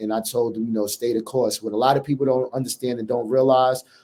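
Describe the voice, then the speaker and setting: A man with a strong New York accent speaks at medium pitch in a dark, mellow tone with flat, monotone intonation. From New York City. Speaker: college basketball head coach. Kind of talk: interview.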